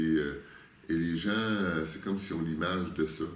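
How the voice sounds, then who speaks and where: A man with a Quebec accent speaks at a fairly slow pace in a very deep, low voice with fairly even intonation. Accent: Québécois French. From Quebec, Canada. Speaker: spiritual guide. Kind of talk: interview answer.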